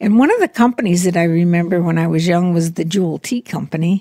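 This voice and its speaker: This voice has an American accent, a dark, mellow tone and a somewhat breathy quality. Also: woman. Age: 80s+. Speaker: interviewee, grandmother. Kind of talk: interview.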